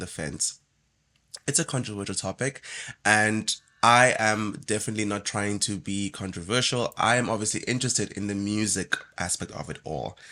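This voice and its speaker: Over a very clean recording with a silent background, a man with a fairly low pitch and a bright, sharp tone speaks with ordinary pitch variation. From South Africa. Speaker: musician and reaction video host. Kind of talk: reaction video commentary. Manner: casual, with fillers and hesitations.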